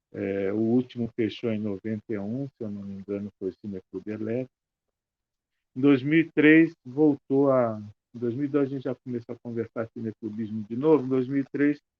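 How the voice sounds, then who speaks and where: A man speaks at a moderate pace with a medium pitch and ordinary pitch variation. His loudness swings widely in a plain, everyday voice. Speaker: film club organizer, panelist. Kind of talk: panel discussion.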